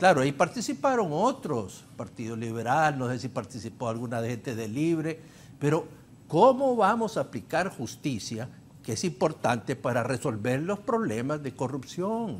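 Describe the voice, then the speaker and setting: Over light background noise, a man with a fairly high pitch speaks at a moderate pace, his voice making very wide pitch swings. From Honduras. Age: 70s. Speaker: former ambassador and party politician; party politician. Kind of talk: political talk show panel. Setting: TV studio. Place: studio.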